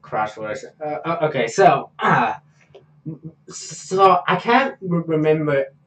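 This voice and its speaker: Lively intonation carries a man's fairly high voice, which moves at a very slow pace. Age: 20s. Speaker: podcast host. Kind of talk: casual chat.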